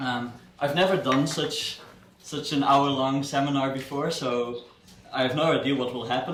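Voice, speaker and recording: A man with a Dutch accent speaks at a fairly high pitch with fairly even intonation, over noticeable background noise and audible room echo. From Netherlands. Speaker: software developer and guest speaker. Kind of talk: seminar talk. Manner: halting, many fillers and repetitions.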